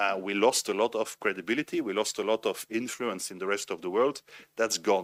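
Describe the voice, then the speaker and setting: A man with a Belgian French accent speaks fairly quickly in a fairly low pitch with fairly even intonation. The sound is dry and close with no echo, on a very clean recording with a silent background. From Belgium (French-speaking). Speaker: conference panelist, former military officer. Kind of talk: panel discussion. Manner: halting, frequent repetitions.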